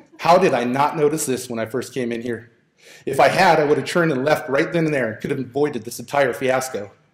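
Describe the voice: The voice is plain reading aloud. Its pitch moves in an ordinary way.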